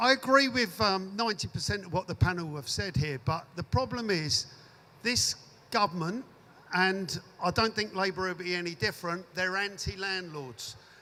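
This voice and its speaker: A raised, projected voice with a bright, sharp tone at a moderate pace. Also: man, high pitch for a man, ordinary pitch variation. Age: 60s. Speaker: audience member, landlord. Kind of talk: audience question at panel debate.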